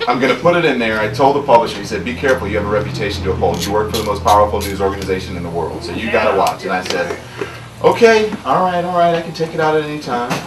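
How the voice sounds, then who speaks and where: There's noticeable background noise in this clip. Over it, a man rattles off his words very fast. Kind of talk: talk to an audience. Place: shop.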